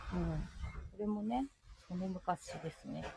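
Speaking at a very slow pace, a woman is heard with a dry, close sound and no echo. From Ibaraki, Japan. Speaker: podcast co-host. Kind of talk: casual chat.

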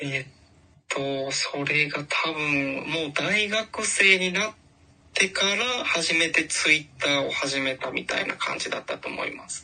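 Noticeable background noise sits under the speech. The pace is fairly slow. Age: 20s. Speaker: office worker. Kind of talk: interview.

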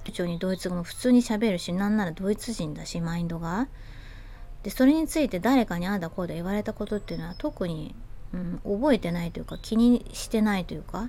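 Her tone dark and mellow, a woman speaks at a medium pitch with lively intonation. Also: fairly quick pace, big swings in loudness. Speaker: podcast host. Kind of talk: casual monologue. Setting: outdoors on home terrace.

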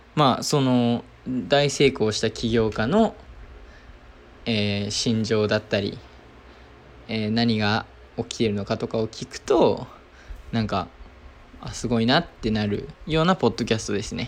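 A man of medium pitch speaks at a fairly slow pace with ordinary pitch variation and long, frequent pauses. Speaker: entrepreneur podcaster. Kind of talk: casual solo diary talk. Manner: halting, many fillers.

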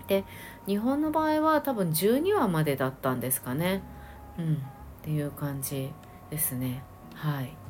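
Long, frequent pauses in a woman's fairly slow speech. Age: late 40s to early 50s. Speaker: podcast host, Korean drama fan. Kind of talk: casual solo review talk. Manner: chatty, many fillers.

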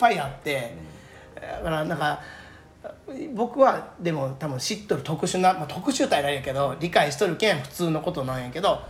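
Lively intonation marks this man's fairly high-pitched voice, delivered at a moderate pace. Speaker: udon shop promoter. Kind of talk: casual chat.

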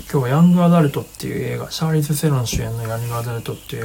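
The tone is relaxed, with noticeable background noise. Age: 30s. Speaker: livestream host, filmmaker. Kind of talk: casual livestream talk. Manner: relaxed, many fillers.

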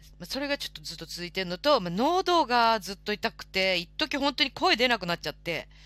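This woman's bright, sharp tone moves through very wide pitch swings. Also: very clean recording, silent background. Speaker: live stream host. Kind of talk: casual chat. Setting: live audio stream. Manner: polite.

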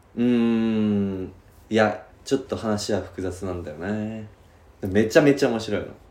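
Audible room echo surrounds a man with a fairly low voice who speaks at a fairly slow pace, with ordinary pitch variation and big swings in loudness. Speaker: podcast co-host. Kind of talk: casual chat. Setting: rented studio space in Shibuya.

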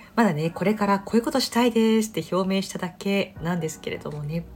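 This voice belongs to a woman. There is some breathiness in it. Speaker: yoga teacher and podcast host. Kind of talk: casual solo talk.

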